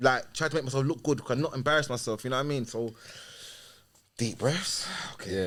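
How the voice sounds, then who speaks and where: A man with a London accent speaks at a fairly quick pace in a medium pitch. His intonation stays fairly even, and he leaves long, frequent pauses. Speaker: YouTube interviewer. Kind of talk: casual chat.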